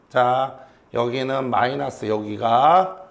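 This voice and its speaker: Audible room echo surrounds the recording. A man speaks at a very slow pace. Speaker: high school physics teacher. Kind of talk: classroom lecture. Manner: animated, questioning students; slower and quieter for key points.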